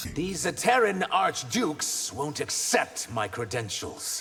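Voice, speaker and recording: Using a put-on character voice, a man swings his fairly high pitch very widely while keeping a fairly slow pace. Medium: video game. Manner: grave, restrained.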